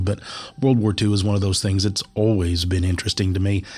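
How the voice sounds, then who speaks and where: Over music in the background, a man with a very deep, low voice talks at a very fast pace with fairly even intonation. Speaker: podcast host. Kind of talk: casual chat. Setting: stripped-down home studio.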